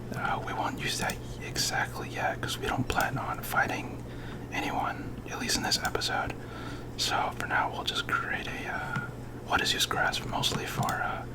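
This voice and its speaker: Someone whispers at a moderate pace, leaving long, frequent pauses, over noticeable background noise. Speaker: ASMR gaming creator. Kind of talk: ASMR gameplay commentary. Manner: whispered; hesitant, many filler words.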